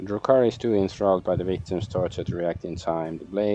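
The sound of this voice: Here is an unforced reading voice whose pitch varies in an ordinary way.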